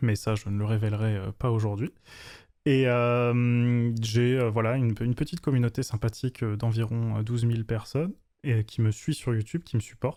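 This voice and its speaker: A man speaks at a medium pitch and moderate pace, with a dark, mellow tone and fairly even intonation. His loudness stays very even in a very clean recording with a silent background. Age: 20s. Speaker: web developer and YouTuber. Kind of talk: interview. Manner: hesitant, many fillers.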